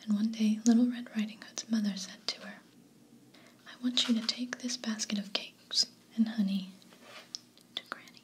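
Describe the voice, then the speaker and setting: Whispering and soft-spoken, a woman talks at a moderate pace with long, frequent pauses and big swings in loudness over noticeable background noise. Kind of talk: bedtime story reading. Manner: whispered, soft-spoken.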